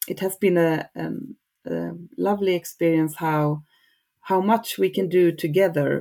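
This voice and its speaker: Speaking fairly slowly with a Swedish accent, a woman uses a fairly low pitch, ordinary pitch variation and a dark, mellow tone. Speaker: regional textile crafts advisor. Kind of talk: interview. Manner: halting.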